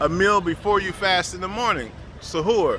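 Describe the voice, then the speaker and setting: Over noticeable background noise, a man talks at a moderate pace in a raised, projected voice with ordinary pitch variation. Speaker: Sufi spiritual teacher. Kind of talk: religious teaching talk.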